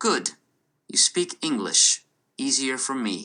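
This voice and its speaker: A man's put-on robotic character voice, medium in pitch, with very wide pitch swings at a fairly slow pace. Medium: read story. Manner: clipped, precise, almost mechanical.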